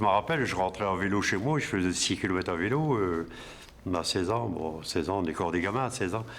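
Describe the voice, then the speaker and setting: The speaker talks at a very fast pace. The pitch varies in an ordinary way. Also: man, very deep, low pitch for a man, very even loudness. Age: 60s. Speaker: retired factory worker. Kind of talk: testimony. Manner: halting, many hesitations.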